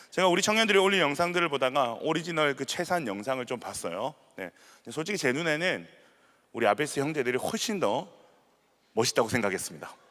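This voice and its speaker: With vocal fry and a bright, sharp tone, a man talks at a very fast pace, his fairly high pitch making very wide swings. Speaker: pastor. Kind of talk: sermon.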